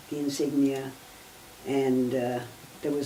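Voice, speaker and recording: A woman speaks with a very deep, low pitch. Noticeable background noise and audible room echo surround her voice. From Germany, Berlin. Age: 80s+. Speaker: Holocaust survivor. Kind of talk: oral history interview.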